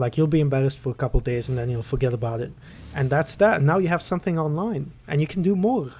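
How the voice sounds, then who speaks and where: A man talks at a very fast pace with lively intonation and a somewhat breathy voice. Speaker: podcast host. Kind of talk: casual monologue. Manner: halting; easy-going.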